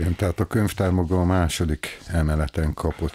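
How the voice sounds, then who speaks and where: With a dark, mellow tone and vocal fry, a man speaks at a moderate pace in a dry sound with no echo. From Hungary, Veszprém; Hungary. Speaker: library director. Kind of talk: interview. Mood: calm, friendly. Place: office. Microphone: studio mic.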